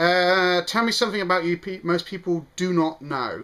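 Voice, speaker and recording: This man has a high pitch and a bright, sharp tone. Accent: British. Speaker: vlogger. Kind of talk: casual vlog. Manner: fast; hesitant, lots of ums.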